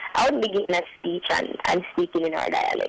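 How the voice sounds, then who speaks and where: A woman speaking at a fairly quick pace, with noticeable background noise. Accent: Jamaican. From rural Jamaica. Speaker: recent high school graduate. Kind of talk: radio interview.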